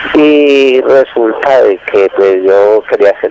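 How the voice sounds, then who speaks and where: The speech goes at a very slow pace, with noticeable background noise behind it. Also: man. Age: 60s. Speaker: caller, retired miner. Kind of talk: phone-in consultation. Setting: phone call. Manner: halting.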